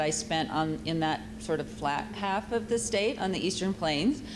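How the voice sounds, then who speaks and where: Over noticeable background noise and audible room echo, a woman with a fairly low pitch talks at a moderate pace. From South Dakota. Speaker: nonprofit executive director. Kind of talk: panel talk.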